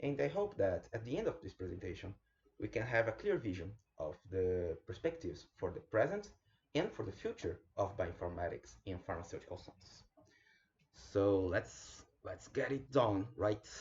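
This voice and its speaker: A man talks with a Brazilian Portuguese accent. His pace is moderate. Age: 30s. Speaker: bioinformatics specialist. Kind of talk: online lecture presentation.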